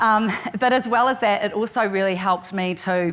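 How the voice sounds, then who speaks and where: In a New Zealand accent, the speaker moves at a fairly quick pace with fairly even intonation. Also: woman. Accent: New Zealand accent, still noticeable. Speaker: tech company executive. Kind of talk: conference presentation.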